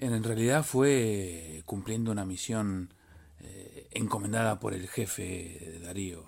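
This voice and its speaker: At a very slow pace, a man speaks with a fairly low pitch, ordinary pitch variation and big swings in loudness. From Argentina, Buenos Aires. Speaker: magazine correspondent. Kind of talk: interview. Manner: halting.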